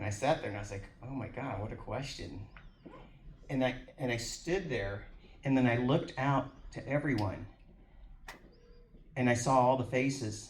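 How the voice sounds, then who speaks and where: A man speaks at a moderate pace with long, frequent pauses, medium pitch, ordinary pitch variation, and big swings in loudness, with audible room echo. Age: 60s. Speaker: author and networking event organizer. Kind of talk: speech at a book signing event. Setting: live event room with audience. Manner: halting, many repeated words.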